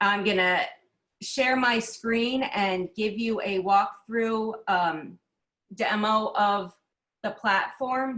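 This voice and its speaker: At a very slow pace, a woman talks in a fairly high pitch with a bright, sharp tone. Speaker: craft fair and gallery director. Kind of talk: webinar presentation and demo.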